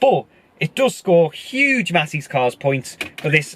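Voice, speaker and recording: Speaking at a fairly slow pace, a man with a high pitch swings very widely in tone, the sound dry and close with no echo and background noise noticeable. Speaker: car reviewer. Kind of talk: car review presentation; casual driving commentary. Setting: inside a moving car. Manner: shouting.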